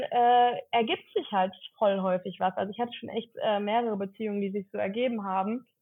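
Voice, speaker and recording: A woman's fairly high-pitched, plain, everyday voice at a moderate pace, with fairly even intonation. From Cologne area, Germany. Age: 30s. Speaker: content creator, former social worker. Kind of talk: casual interview.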